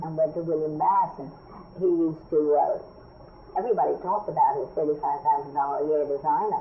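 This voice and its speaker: A woman with an American accent at a very fast pace, over noticeable background noise. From New York City. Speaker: fashion designer. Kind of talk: oral history interview answer.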